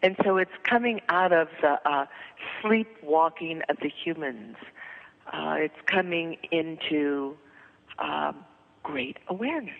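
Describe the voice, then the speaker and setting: With noticeable background noise behind her, a woman with a fairly low pitch speaks at a very slow pace with lively intonation and long, frequent pauses. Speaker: spiritual teacher and author. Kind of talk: interview. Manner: halting.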